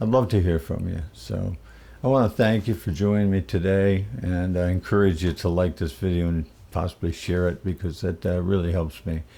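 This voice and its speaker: A man's very deep, low voice carries a dark, mellow tone and ordinary pitch variation. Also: moderate pace. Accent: American. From upstate New York. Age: 70s. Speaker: musician. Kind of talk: casual monologue. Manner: relaxed with frequent fillers.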